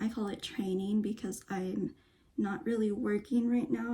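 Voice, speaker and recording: The voice is somewhat breathy and belongs to a woman. She delivers her words at a fairly slow pace. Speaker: lifestyle vlogger and dancer. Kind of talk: casual vlog chat. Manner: halting, many fillers.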